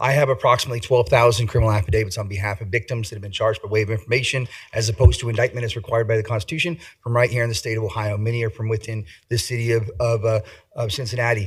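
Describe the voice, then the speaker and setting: The man talks very fast in a somewhat breathy voice, his intonation fairly even. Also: medium pitch for a man. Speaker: civil rights litigator. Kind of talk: public comment at council meeting.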